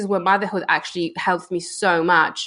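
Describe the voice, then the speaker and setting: A woman speaks with a Polish accent at a medium pitch. Her pace is moderate. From Poland. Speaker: entrepreneur. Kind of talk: interview answer.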